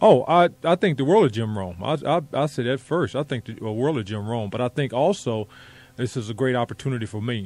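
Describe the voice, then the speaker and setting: With a plain, everyday voice, a man talks at medium pitch and a moderate pace with lively intonation. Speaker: former NBA player, guest radio co-host. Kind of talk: casual radio interview answer.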